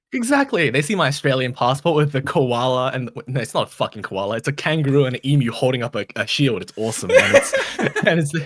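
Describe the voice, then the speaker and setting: Noticeable background noise sits behind a man with a fairly high pitch who talks at a very fast pace with ordinary pitch variation. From Australia, partly Taiwan and Japan. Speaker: content creator. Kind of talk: casual chat.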